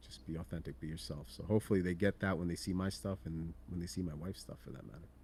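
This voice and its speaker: A man with a very deep, low pitch and a dark, mellow tone talks at a very fast pace with hardly any pauses, his loudness swinging widely, ordinary pitch variation and vocal fry throughout. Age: 40s. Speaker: horror collectibles content creator. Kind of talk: casual interview chat.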